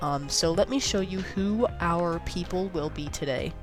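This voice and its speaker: With music in the background, a woman in an American accent speaks with lively intonation. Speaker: gaming youtuber. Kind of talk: casual gameplay commentary. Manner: animated.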